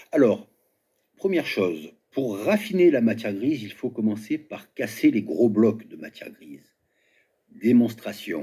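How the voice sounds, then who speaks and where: A man with a dark, mellow tone and medium pitch speaks at a fairly slow pace with long, frequent pauses, very wide pitch swings and big swings in loudness. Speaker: video commentator. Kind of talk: commentary monologue.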